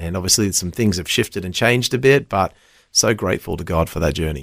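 With an Australian accent, a man speaks at a very deep, low pitch in a very clean recording with a silent background. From Western Australia. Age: 30s. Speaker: children's worship leader and preacher. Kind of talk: casual chat; sermon. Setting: studio.

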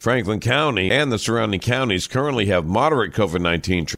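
On a very clean recording with a silent background, a man with an American accent and an unremarkable speaking voice talks at a fairly low pitch with lively intonation. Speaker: news reader. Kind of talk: formal newsreading of local headlines, scripted and brisk, like a radio news bulletin. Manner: formal, even-paced and neutral, with clear professional delivery.

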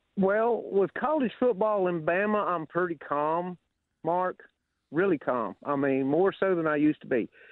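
A high-pitched man with a Southern US accent at a moderate pace, with lively intonation. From Alabama Gulf Coast. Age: 60s. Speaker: caller. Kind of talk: call-in storytelling. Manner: animated.

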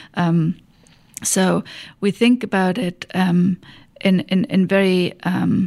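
A woman speaks in a German accent at a medium pitch. Her intonation stays fairly even. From Germany. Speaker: economic development executive. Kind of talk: interview. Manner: halting, many fillers.

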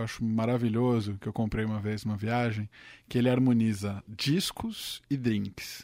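A man talks at a moderate pace with fairly even intonation. His is an unremarkable speaking voice, heard on a very clean recording with a silent background. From São Caetano do Sul, Greater São Paulo (ABC), Brazil. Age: 20s. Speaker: tech journalist. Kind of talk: casual chat.

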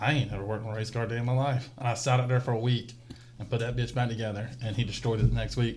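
A man's very fast, monotone, flat delivery at medium pitch in a North Carolina accent. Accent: US South, North Carolina. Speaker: race spotter and business owner. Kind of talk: casual chat. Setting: studio. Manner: loud.

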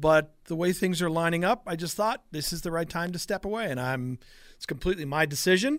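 A man's high-pitched voice with an American accent, fairly quick pace and ordinary pitch variation, on a very clean recording with a silent background. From Long Island, New York. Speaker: retiring sports radio host. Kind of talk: interview.

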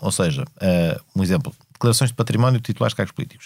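A man talks at a very fast pace with very wide pitch swings, in a very clean recording with a silent background. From Portugal, Lisbon area (Amadora). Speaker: politician and law lecturer. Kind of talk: interview conversation. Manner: hesitant, many fillers.

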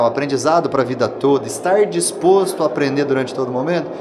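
With room echo and clear background noise around him, a man speaks in a fairly high register with normal pitch movement. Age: 30s. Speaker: president of a regional engineering council. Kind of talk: panel interview.

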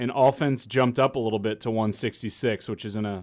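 A man with a normal speaking voice, moderate pace and ordinary pitch variation. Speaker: podcast co-host. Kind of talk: casual sports chat.

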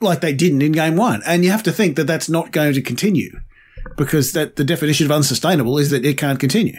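A man with an Australian accent speaks at a fairly quick pace in a fairly high pitch. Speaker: podcast co-host. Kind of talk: casual chat.

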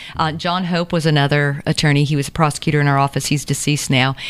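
A woman speaks very fast in an American accent. Her voice is very deep and low, with monotone, flat intonation. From US South, Savannah, Georgia. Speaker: district attorney. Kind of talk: interview.

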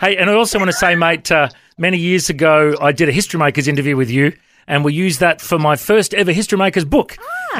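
Noticeable background noise sits behind a speaker with an Australian accent talking at a very fast pace with ordinary pitch variation. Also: man. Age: 40s. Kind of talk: radio interview.

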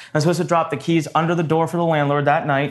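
At a very fast pace, a man speaks in an animated tone at a fairly high pitch. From India (Punjabi), raised in Maryland. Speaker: entrepreneur. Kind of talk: interview.

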